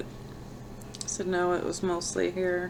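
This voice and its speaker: A woman's medium-pitched voice with audible room echo. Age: old. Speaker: vlogger sharing brain tumor recovery. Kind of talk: personal vlog. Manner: slow; halting.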